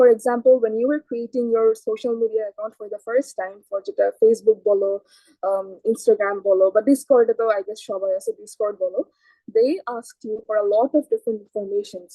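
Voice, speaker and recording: A woman with an ordinary speaking voice talks at a fairly quick pace with a fairly high pitch. Her intonation stays fairly even while her loudness swings widely. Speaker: programming instructor. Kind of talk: lecture. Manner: code-switching Bengali and English.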